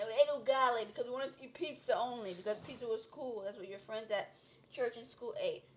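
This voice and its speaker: The speech moves at a very fast pace with big swings in loudness. Noticeable background noise is present. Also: woman, high pitch for a woman, ordinary pitch variation. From United States, Kenyan-born, moved at four. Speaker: panel guest. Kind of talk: casual discussion.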